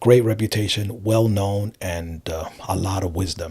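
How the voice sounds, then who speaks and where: A man's somewhat breathy voice with an American accent, fairly low in pitch, fairly even in intonation, on a very clean recording with a silent background. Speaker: life coach. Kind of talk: interview.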